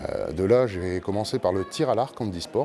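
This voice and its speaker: Pitch variation is ordinary. The words come at a moderate pace. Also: man. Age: 30s. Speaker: blind para judo athlete. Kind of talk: interview. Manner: hesitant, many fillers.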